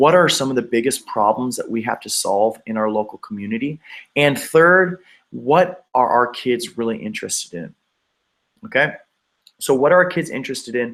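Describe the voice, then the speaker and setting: With lively intonation, a man speaks at a moderate pace and a medium pitch in an unremarkable speaking voice. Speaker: education consultant. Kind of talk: webinar presentation. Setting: live video broadcast.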